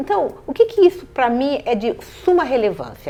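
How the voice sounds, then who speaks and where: Very wide pitch swings from a woman talking at a moderate pace. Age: 60s. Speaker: city councillor. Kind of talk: interview.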